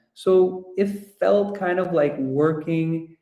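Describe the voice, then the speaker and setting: Audible room echo surrounds the speech. A man varies his pitch in an ordinary way. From Ecuador. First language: Russian or Spanish. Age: 20s. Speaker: project management professional. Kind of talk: guest talk at online webinar. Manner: hesitant, many fillers.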